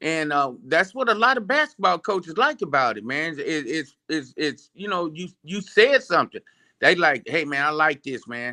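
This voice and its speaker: The man's voice has a bright, sharp tone and lively intonation, captured with a dry, close sound and no echo. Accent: American. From Phoenix, Arizona. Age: 60s. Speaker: sport inventor and promoter. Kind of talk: casual interview. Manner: animated.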